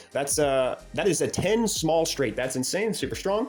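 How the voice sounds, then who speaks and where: A man speaks at a fairly high pitch with ordinary pitch variation, and music plays in the background. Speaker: board game strategy youtuber. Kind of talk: tutorial. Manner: fast; casual with frequent fillers.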